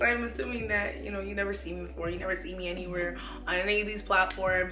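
A woman rushes along at a very fast pace while noticeable background noise sits behind her. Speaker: lifestyle YouTuber. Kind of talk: casual talk to camera. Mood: earnest, motivational. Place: home room.

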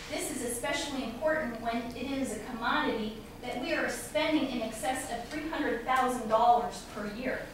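A woman at a fairly high pitch and moderate pace, with ordinary pitch variation, audible room echo and clear background noise

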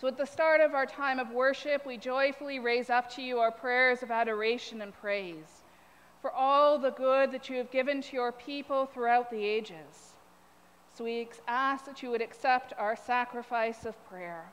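A woman speaks at a high pitch and moderate pace with ordinary pitch variation and big swings in loudness. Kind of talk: prayer reading. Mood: calm, reverent. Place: church.

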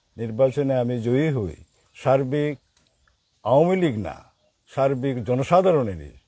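A man's voice sits at a medium pitch, dark and mellow in tone, with ordinary pitch variation. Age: old. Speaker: local politician, election candidate. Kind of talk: campaign interview. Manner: halting.

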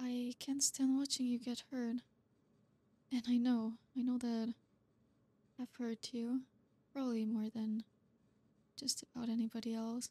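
A woman's high-pitched, monotone, flat voice with a dark, mellow tone, a fairly slow pace and long, frequent pauses, in a dry, close sound with no echo. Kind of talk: asmr roleplay. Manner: tsundere: sharp, sarcastic and bratty, then softening into flustered sincerity.

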